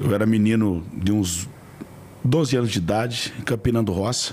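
Pitch moves in an ordinary way as this man talks. There is noticeable noise in the background. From rural Brazil. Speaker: franchise entrepreneur. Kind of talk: interview.

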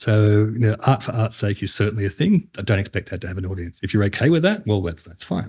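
Somewhat breathy and fairly low-pitched, a man talks at a very fast pace. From Australia, New South Wales. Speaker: games industry executive. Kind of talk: interview.

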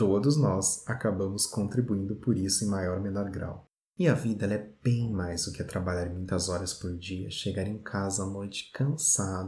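A man's somewhat breathy, dark, mellow tone at a fairly low pitch and fairly slow pace, in a very clean recording with a silent background. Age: 30s. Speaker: podcast host. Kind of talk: scripted narration.

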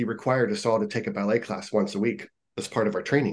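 The speaker has an American accent and a fairly quick pace. Pitch varies in an ordinary way. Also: man. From US Midwest, Ohio. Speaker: fitness and yoga instructor. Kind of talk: casual interview. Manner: animated.

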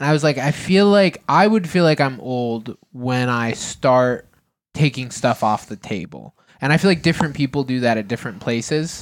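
A man's plain, everyday voice with an American accent, medium pitch, lively intonation and a moderate pace. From Massachusetts. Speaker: podcast co-host. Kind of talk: casual chat.

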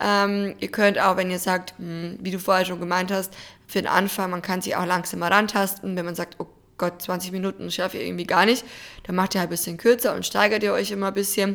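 A woman's medium-pitched voice, fairly quick and monotone, with flat intonation. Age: 20s. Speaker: podcast co-host. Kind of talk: casual chat.

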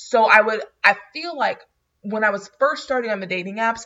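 A woman's ordinary speaking voice with an American accent, fairly high in pitch, lively in intonation, and moderate in pace. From North Florida small town. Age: 20s. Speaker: podcast co-host. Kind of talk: casual chat.

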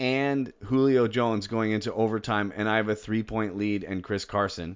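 Speaking with an American accent, a man uses a plain, everyday voice at a medium pitch, with ordinary pitch variation and a fairly slow pace. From Boston, US. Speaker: fantasy football podcast host. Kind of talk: casual chat.

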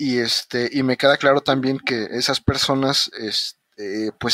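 A man with a Mexican accent speaks at a moderate pace, his pitch medium and his tone bright and sharp. The sound is dry and close with no echo, and his pitch varies in an ordinary way. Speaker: podcast host, engineer. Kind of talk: casual interview chat.

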